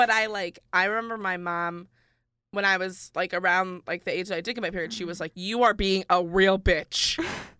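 Loud and bright with a sharp tone, a woman speaks at a medium pitch and moderate pace with fairly even intonation. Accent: upstate New York. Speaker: college student podcast co-host. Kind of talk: casual chat. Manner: louder voice.

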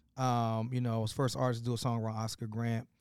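A man's medium-pitched voice in a flat monotone, on a very clean recording with a silent background. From US Midwest, south side of Chicago. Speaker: hip-hop artist and activist. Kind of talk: casual interview conversation. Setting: live at a conference.

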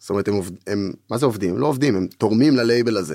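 Speaking at a very fast pace, a man makes very wide pitch swings. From Israel, Tel Aviv. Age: 20s. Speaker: music producer and record label co-owner. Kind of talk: casual interview chat. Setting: studio.

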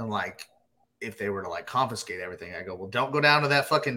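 A man speaks with an American accent. His medium-pitched voice has a bright, sharp tone. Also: very clean recording, silent background. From Texas. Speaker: moonshine distiller. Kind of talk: casual chat.

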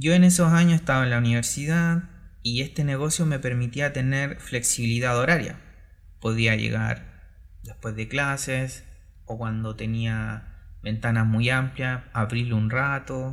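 A man speaks at a fairly slow pace. His pitch is medium, with ordinary pitch variation. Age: 30s. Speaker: entrepreneur and former math teacher. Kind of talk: solo podcast monologue. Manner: halting, with fillers.

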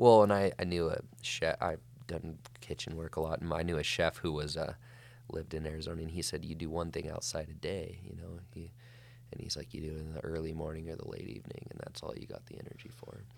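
A man with an American accent speaks at a very fast pace in a very deep, low pitch. His voice carries vocal fry and ordinary pitch variation. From Montana (Flathead Valley). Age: 30s. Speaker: wildland firefighter and author. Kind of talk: casual interview chat.

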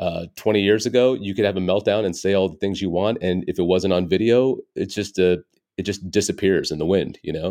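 The background is quiet as a man talks at a fairly quick pace. His voice is fairly low in pitch, with a dark, mellow tone and fairly even intonation. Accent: General American. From US, Dallas area. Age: 40s. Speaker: stand-up comedian. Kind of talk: casual interview chat.

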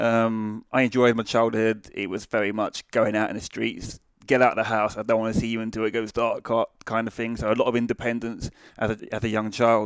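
A man with a British accent, medium pitch and monotone, flat intonation at a fairly quick pace, in a dry, close sound with no echo on a very clean recording with a silent background. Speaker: army veteran and charity founder. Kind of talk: casual interview.

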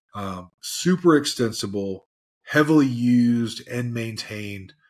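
Speaking slowly-ish in an American accent, a man has a normal speaking voice with ordinary pitch variation. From US South, Tennessee. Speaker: software solutions engineer. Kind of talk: webinar presentation.

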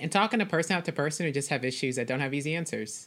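Her voice sits very deep and low for a woman, with lively intonation. The recording is very clean and the background silent. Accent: American. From Texas (Dallas). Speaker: Bible teacher and author. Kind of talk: interview. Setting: call.

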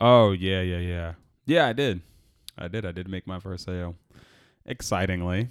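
A man with an American accent speaks in a very deep, low pitch with ordinary pitch variation. His pace is moderate, broken by long, frequent pauses. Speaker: podcast co-host, restaurant server. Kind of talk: casual chat.

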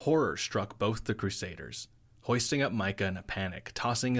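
A natural reading voice is what this recording holds.

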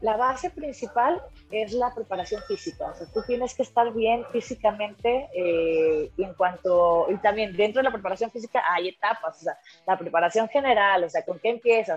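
In a normal speaking voice, a woman with a fairly high pitch talks at a moderate pace with lively intonation. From Mexico. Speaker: mixed martial arts fighter. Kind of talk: interview.

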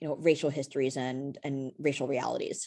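Against a quiet background, a woman with an American accent speaks at a fairly quick pace in a dark, mellow tone. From US Northeast (Brooklyn, New York). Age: 40s. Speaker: professor. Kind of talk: interview. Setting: podcast interview. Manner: many fillers (um, right, you know).

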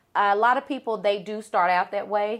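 This woman has a Southern US accent. She talks at a fairly quick clip. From US South, Arkansas. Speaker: event planner and business owner. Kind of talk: podcast interview.

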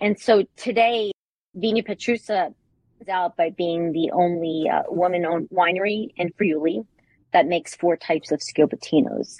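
A woman speaks in a plain, everyday voice, fairly low in pitch, with ordinary pitch variation at a moderate pace. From New York. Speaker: wine importer. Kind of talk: interview.

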